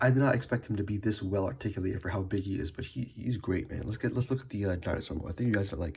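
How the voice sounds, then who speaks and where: A man's voice is dark and mellow in tone, somewhat breathy, with ordinary pitch variation. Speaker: toy reviewer. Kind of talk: casual talk to camera. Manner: excited, profane.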